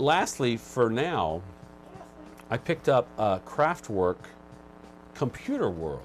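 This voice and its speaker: A man speaking at a very slow pace, with long, frequent pauses and music in the background. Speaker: vinyl record show co-host. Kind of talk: casual chat. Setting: live video stream.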